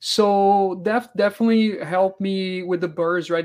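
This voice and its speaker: A man with a Portuguese accent speaks at a moderate pace with fairly even intonation. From Brazil. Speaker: real estate investor. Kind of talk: interview.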